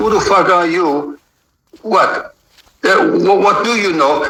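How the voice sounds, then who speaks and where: A man speaks in a raised, projected voice at a high pitch, his intonation lively. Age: 60s. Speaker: martial arts master. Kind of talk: interview. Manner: animated.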